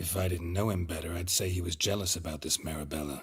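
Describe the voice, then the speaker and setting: A man's put-on character voice, raspy and very deep, delivered at a very fast pace. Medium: video game. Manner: dry, terse.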